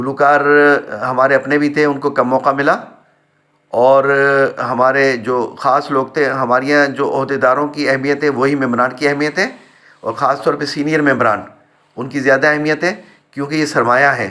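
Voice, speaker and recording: A man speaks in a monotone with flat intonation. His voice is fairly high and has a bright, sharp tone. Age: 60s. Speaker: retired community member, vlogger. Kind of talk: personal vlog monologue. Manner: hesitant with filler sounds.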